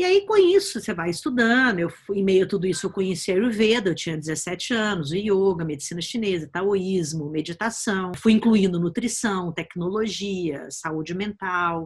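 Her medium-pitched voice moves at a moderate pace with ordinary pitch variation and hardly any pauses. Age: 50s. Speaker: biohacking educator and author. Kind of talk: personal story told to course viewers. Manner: hesitant with fillers.

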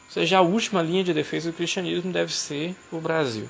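Noticeable background noise runs behind a man's voice. He speaks fairly high with lively intonation. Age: 30s. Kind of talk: casual discussion.

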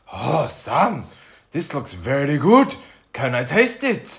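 In a put-on character voice, the speaker goes at a fairly slow pace with a low-to-middle pitch.

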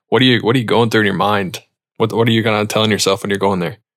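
A man is speaking. His voice has a medium pitch. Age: 30s. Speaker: podcast host, pilot. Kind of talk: casual interview chat. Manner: animated.

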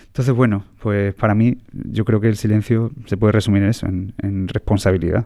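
A man speaks at a fairly quick pace with a dark, mellow tone and fairly even intonation, recorded very cleanly against a silent background. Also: fairly low pitch for a man. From Andalusia, Jaén province. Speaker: classical guitarist. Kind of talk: casual interview chat. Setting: theatre press room.

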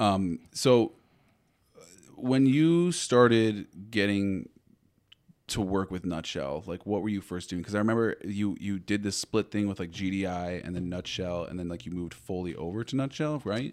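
In a normal speaking voice with an American accent, a man of fairly low pitch talks at a moderate pace with ordinary pitch variation, on a very clean recording with a silent background. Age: 20s. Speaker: podcast host, photo and film business owner. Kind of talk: casual chat.

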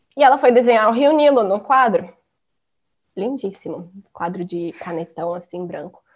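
Lively intonation in a woman's fairly high-pitched voice. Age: 20s. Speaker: design student. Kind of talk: casual chat.

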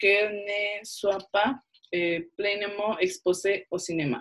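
In a Spanish accent, a woman speaks at a very slow pace. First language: Spanish (speaking French). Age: 20s. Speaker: film student. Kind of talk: panel discussion.

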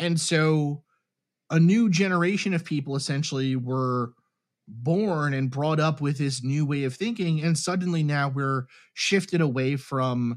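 On a very clean recording with a silent background, a man uses a normal speaking voice with ordinary pitch variation. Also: fairly high pitch for a man, fairly slow pace. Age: 30s. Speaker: chemical engineer and UFO research project member. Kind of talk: interview.

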